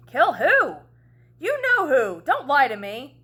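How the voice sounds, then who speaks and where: A woman slips into a put-on character voice, high in pitch and fairly slow. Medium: read story.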